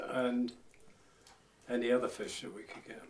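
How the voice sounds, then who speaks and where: A man speaks in a Norfolk accent at a medium pitch. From Norfolk, England (Walsingham). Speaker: lifeboat crewman and fisherman. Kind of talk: oral history interview.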